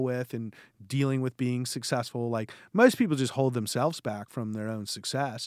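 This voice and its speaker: On a very clean recording with a silent background, a man talks at medium pitch with fairly even intonation. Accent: Californian. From West Los Angeles, California. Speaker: investment manager. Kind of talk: interview. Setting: in person.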